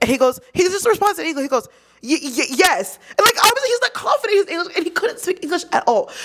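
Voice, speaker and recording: Delivered at a very fast pace in an American accent, the speech has an animated tone over noticeable background noise. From United States. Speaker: university student living in Korea. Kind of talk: casual podcast conversation. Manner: animated storytelling.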